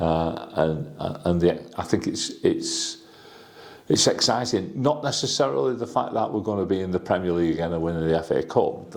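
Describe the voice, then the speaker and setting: This man's voice is very deep and low, with very wide pitch swings. Noticeable background noise runs underneath. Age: 60s. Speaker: football fan and community organiser. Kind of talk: interview. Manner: halting, repetitive false starts.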